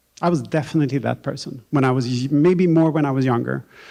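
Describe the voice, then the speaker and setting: In a Swedish accent, a man with a fairly high pitch speaks at a moderate pace with ordinary pitch variation. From Sweden, Stockholm. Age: 40s. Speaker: novelist. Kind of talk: onstage author conversation. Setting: stage with audience. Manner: halting, with frequent repetitions.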